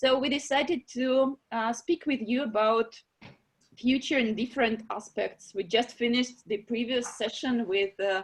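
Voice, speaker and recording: Speaking with a non-native accent, a woman uses a high pitch. Her pitch variation is ordinary, and her pace moderate. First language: not English. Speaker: online meeting moderator for art prize. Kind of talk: video call discussion moderation. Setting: video call. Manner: halting, many fillers.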